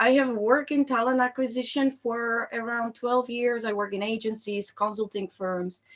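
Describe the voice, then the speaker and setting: A woman with a Slovak accent speaks at a moderate pace with hardly any pauses. Her fairly high pitch follows fairly even intonation. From Slovakia. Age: 30s. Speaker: employer branding expert. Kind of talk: online presentation. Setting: video call.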